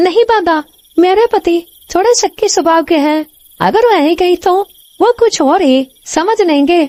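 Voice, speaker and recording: A woman performs a cartoonish character voice at an extremely high pitch, with ordinary pitch variation. She keeps a moderate pace and very even loudness. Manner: often exclaims to God.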